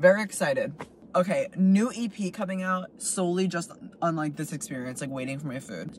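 Speaking at a fairly quick pace with lively intonation, a man comes through dry with no echo over light background noise. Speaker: food vlogger. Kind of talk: casual vlog chat. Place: car. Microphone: phone near.

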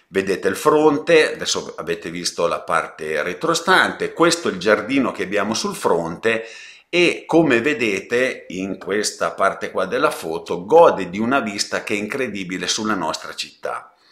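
Quiet background, a man's voice, moderate pace. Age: 60s. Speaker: real estate agent. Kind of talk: property presentation live stream; live property presentation. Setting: live stream. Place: home room. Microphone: webcam.

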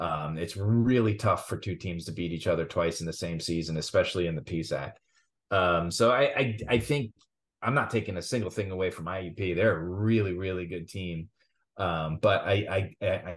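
Against a quiet background, a man with a very deep, low pitch speaks at a moderate pace with ordinary pitch variation. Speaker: podcast co-host. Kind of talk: sports commentary chat. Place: home room. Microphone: video call.

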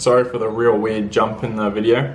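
Light background noise sits behind a man's speech. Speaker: travel vlogger. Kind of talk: casual vlog chat. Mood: annoyed, recounting bad trip. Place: home room. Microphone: phone near.

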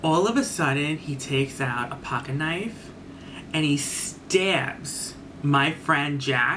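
A very slow pace against noticeable background noise. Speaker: YouTube storyteller. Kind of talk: scary story time, told as a spooky first-person tale. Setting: solo video recording. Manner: dramatic and suspenseful, with excited swearing. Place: home room. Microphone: webcam.

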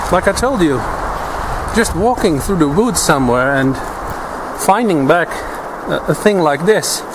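A man speaks at a moderate pace. Noticeable background noise runs behind him. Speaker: bushcraft instructor. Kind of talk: tutorial. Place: forest.

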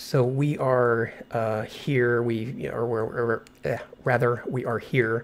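A man speaks slowly at a medium pitch, keeping his intonation fairly even.

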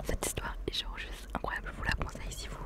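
A woman's extremely high voice at a very fast pace, with fairly even intonation. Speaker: gaming and ASMR YouTuber. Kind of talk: casual talk to camera, ASMR. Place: home room. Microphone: studio mic.

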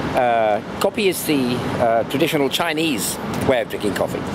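A man speaks in a dry sound with no echo. Loud background noise is present. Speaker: travel vlogger. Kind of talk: casual vlog commentary. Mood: curious, opinionated. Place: street. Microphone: phone near.

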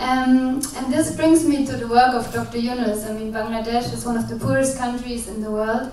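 A woman's high-pitched voice at a moderate pace, fairly even in intonation, with audible room echo and light background noise. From Germany. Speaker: social business practitioner. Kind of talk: panel discussion. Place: hall. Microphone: handheld.

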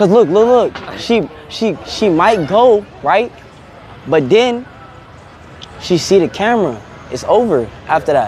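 A man's lively intonation in a dry sound with no echo, over light background noise. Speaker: livestreamer. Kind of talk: casual livestream chat. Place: street. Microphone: phone near.

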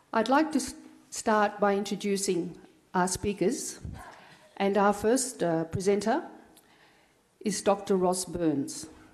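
Over music in the background, a woman speaks very slowly at a medium pitch with ordinary variation, very even loudness and long, frequent pauses. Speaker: event presenter. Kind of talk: formal introduction. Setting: stage with audience.

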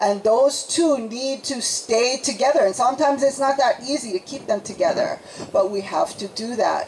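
A woman with a high voice and lively intonation speaks against light background noise. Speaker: speaker. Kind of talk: public talk. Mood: earnest, reflective. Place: tent. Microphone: handheld.

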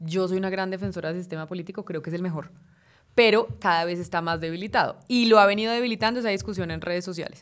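Against a quiet background, a woman talks very fast at a medium pitch with ordinary pitch variation. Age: 30s. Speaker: journalist and political scientist; journalist. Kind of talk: interview. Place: studio. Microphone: studio mic.

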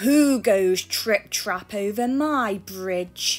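A woman speaks at a very slow pace in a put-on, growling character voice, her pitch medium. Faint music plays in the background.

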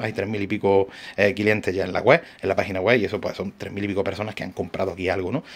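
A man's very fast, animated speech in an Andalusian accent. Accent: Andalusian (Granada). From Granada, Andalusia, Spain; Andalusia, Spain. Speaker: radio-control shop owner and YouTuber; radio-control shop owner, YouTuber. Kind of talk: tutorial. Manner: animated, repetitive. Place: shop. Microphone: phone near.

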